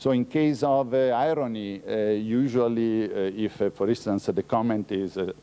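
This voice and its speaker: The speaker, with an Italian accent, talks at a fairly slow pace with ordinary pitch variation. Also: man. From Italy. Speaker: researcher. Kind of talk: lecture. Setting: conference talk. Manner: halting, many fillers.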